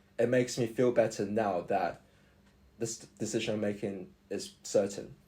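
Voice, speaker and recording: A man's dark, mellow, somewhat breathy voice at medium pitch and moderate pace. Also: ordinary pitch variation. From Australia. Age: 20s. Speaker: university student. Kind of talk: podcast interview. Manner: halting.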